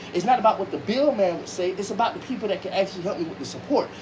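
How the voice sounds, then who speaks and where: Against noticeable background noise, a man talks in an animated tone with lively intonation. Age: 20s. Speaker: online radio show host and music artist. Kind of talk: heated family argument on a livestream. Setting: TikTok livestream.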